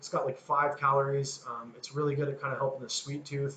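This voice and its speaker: Noticeable background noise behind a man at a fairly quick pace. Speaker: fitness coach. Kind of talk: coaching talk to program members. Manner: fast.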